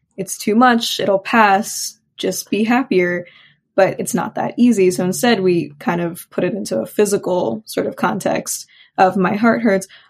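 A woman uses a medium pitch with ordinary pitch variation and vocal fry, on a very clean recording with a silent background. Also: fairly slow pace. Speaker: counseling student. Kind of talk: interview conversation.

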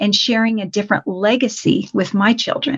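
A somewhat breathy woman with an American accent, fairly high in pitch, at a moderate pace. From Colorado. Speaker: financial coach. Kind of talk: interview.

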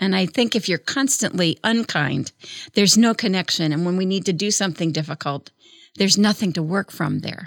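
A woman with an unremarkable speaking voice at medium pitch talks at a fairly quick pace with ordinary pitch variation, in a dry, close sound with no echo and a very clean recording with a silent background. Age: 60s. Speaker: philanthropist. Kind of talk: casual chat.

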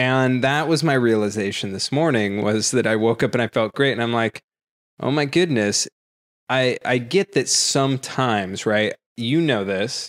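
A normal speaking voice from a man at medium pitch, moderate pace and ordinary pitch variation, dry and close with no echo, on a very clean recording over a silent background. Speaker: podcast co-host, tech entrepreneur. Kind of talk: casual chat. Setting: home recording.

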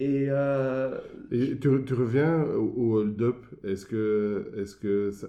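This man speaks very slowly at a medium pitch with ordinary pitch variation. Background noise is noticeable. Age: 50s. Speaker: podcast host and entrepreneur. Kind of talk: interview.

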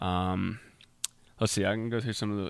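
In a normal speaking voice, a man talks at medium pitch and a moderate pace with ordinary pitch variation. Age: 20s. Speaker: natural bodybuilder and supplement sales director. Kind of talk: casual chat.

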